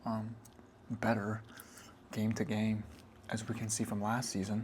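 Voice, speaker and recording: Soft-spoken and somewhat breathy, a man talks at a fairly low pitch. His pace is fairly slow and his intonation is monotone and flat. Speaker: ASMR creator. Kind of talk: ASMR soft-spoken sports talk.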